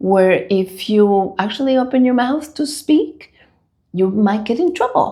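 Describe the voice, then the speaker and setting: A woman's medium-pitched voice with a Spanish accent and a dark, mellow tone. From Dominican Republic. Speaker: school leader. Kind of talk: interview.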